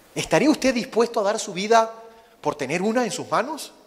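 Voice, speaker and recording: Speaking with a Venezuelan accent, this man keeps a moderate pace. His pitch is high. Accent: Venezuelan accent, noticeable. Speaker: missionary preacher. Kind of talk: sermon.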